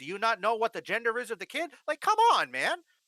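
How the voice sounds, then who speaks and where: A woman with a fairly high, bright, sharp voice and vocal fry talks very fast in an animated tone, her pitch swinging very widely, in a dry, close sound with no echo. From Canada. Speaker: gaming streamer. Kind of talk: casual chat. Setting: livestream.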